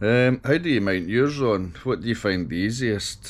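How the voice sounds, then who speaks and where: Lively intonation runs through a man's speech. His pace is moderate. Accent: Scottish. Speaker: motorcycle vlogger. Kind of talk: casual vlog. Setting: on a motorcycle, helmet camera. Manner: hesitant, with fillers.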